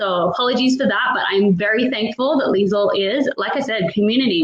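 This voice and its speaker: Talking at a very fast pace, a woman uses an Australian accent and ordinary pitch variation. Noticeable background noise can be heard. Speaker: online business owner hosting a panel. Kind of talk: video panel chat.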